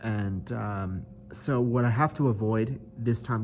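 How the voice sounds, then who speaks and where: Music plays in the background. The speaker's pitch varies in an ordinary way. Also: man. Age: 30s. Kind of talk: casual video diary to camera. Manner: hesitant, many filler words.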